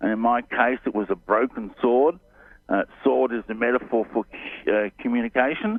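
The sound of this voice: A man speaks at a medium pitch and a moderate pace. His pitch varies in an ordinary way.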